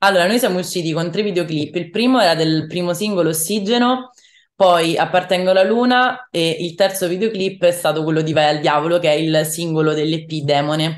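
A woman speaks at a fairly quick pace against a quiet background. Her pitch is fairly low, with ordinary variation. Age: young. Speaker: rock singer-songwriter; interviewee. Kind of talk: interview. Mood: cheerful, smiling. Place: home room. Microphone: video call.

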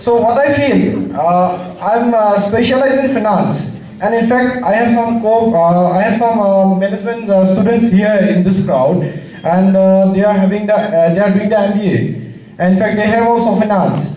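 A man with a high pitch speaks at a moderate pace, with ordinary pitch variation and very even loudness. Light background noise and audible room echo are present. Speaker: commerce student asking question. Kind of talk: formal student question. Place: hall.

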